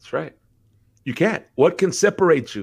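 Lively intonation laced with vocal fry. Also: man. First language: bilingual Spanish and English. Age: 50s. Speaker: pastor and musician. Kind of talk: casual chat. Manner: halting.

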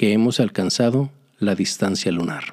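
The man's voice has a dark, mellow tone as he speaks at a fairly unhurried pace. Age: 60s. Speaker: podcast host. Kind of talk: solo podcast monologue. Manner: halting, with fillers.

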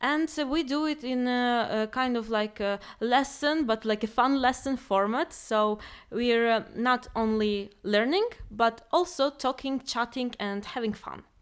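Speaking at a fairly slow pace, a woman with a Ukrainian accent has a high pitch and ordinary pitch variation. The recording is very clean, with a silent background. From Ukraine. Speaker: project coordinator. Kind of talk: casual chat.

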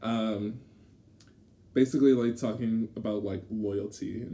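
A somewhat breathy man's voice, fairly low in pitch, dark and mellow in tone, with monotone, flat intonation. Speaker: podcast co-host. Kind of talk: casual chat. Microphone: poor audio environment.

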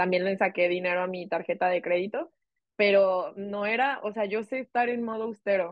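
A woman's unremarkable speaking voice, medium in pitch, with ordinary pitch variation. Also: moderate pace. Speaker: podcast co-host. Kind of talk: casual chat.

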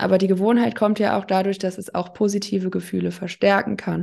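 In a plain, everyday voice, a woman of medium pitch speaks at a moderate pace against a quiet background. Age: 30s. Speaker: addiction counselor. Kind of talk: casual interview.

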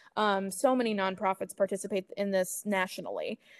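A woman with a Midwestern American accent at a moderate pace, with fairly even intonation and a dry, close sound with no echo. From US Midwest, Kansas City. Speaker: animal rescue events and marketing coordinator. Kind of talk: interview. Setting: remote recording.

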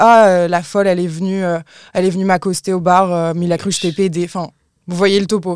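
Woman's medium-pitched, monotone, flat voice at a fairly quick pace, on a very clean recording with a silent background. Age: 20s. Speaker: content creator and podcaster. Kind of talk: casual chat.

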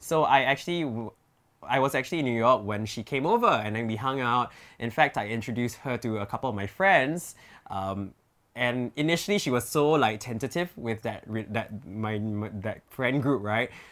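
Recorded very cleanly against a silent background, a man talks with a Singaporean accent and ordinary pitch variation. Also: medium pitch for a man, moderate pace. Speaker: influencer. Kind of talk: casual chat.

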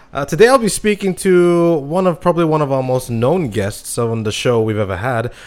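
At a moderate pace and with hardly any pauses, a man speaks at a fairly high pitch with very wide pitch swings. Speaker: podcast host. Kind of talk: casual interview chat.

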